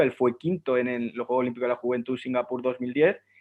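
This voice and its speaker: The delivery is very fast, with monotone, flat intonation throughout. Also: man. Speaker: sports analyst. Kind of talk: panel discussion. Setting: online live stream.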